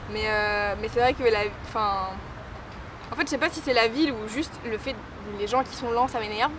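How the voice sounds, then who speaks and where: A woman talks with a fairly high pitch and ordinary pitch variation, at a moderate pace broken by long, frequent pauses. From western France (Saint-Nazaire / Nantes). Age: 20s. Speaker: DJ. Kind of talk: street interview. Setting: outdoors. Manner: weak articulation.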